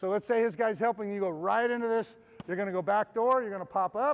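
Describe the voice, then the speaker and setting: A man's high-pitched voice with an animated tone and ordinary pitch variation. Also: dry, close sound with no echo. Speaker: basketball coach. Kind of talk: coaching clinic with live demonstration.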